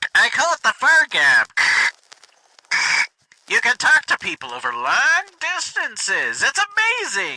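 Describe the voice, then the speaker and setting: Using a put-on character voice, the man talks at an extremely high pitch. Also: moderate pace. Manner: loud.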